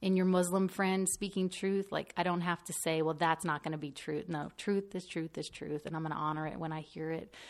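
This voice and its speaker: Recorded very cleanly against a silent background, a woman with a plain, everyday voice speaks at a fairly low pitch and a moderate pace with fairly even intonation. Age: 30s. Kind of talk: casual interview.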